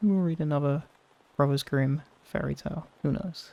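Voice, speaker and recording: The speaker is soft-spoken, with a relaxed tone. The pace is moderate. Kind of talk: casual chatty intro and outro to camera. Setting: recorded in a tent with rain sounds. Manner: soft-spoken, relaxed.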